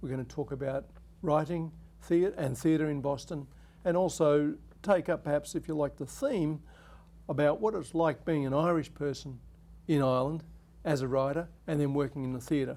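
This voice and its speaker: In an Australian accent, a man with a dark, mellow tone and fairly high pitch talks at a moderate pace with fairly even intonation and long, frequent pauses. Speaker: TV talk show host, academic. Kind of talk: interview. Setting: studio.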